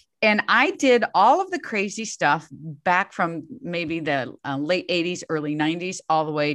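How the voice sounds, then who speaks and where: Against a quiet background, a woman with an ordinary speaking voice and fairly low pitch talks at a fairly slow pace with lively intonation and hardly any pauses. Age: 60s. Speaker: fitness coach. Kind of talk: interview conversation.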